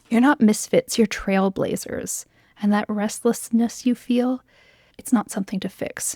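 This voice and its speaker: On a very clean recording with a silent background, a woman speaks fairly slowly in a fairly high, somewhat breathy voice with a gentle, dark, mellow tone and fairly even intonation. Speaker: occupational therapist business coach. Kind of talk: encouraging spoken letter. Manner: gentle, empathetic.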